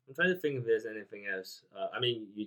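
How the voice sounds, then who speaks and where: A man with a non-native accent. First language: not English. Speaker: podcast host, programmer. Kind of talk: casual chat. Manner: halting.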